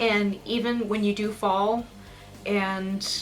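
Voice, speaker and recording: Amid noticeable background noise, a woman speaks with a Pacific Northwest accent and fairly even intonation. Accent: American, Pacific Northwest. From US Pacific Northwest, eastern Washington. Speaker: music reviewer, aspiring opera singer. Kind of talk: album review vlog.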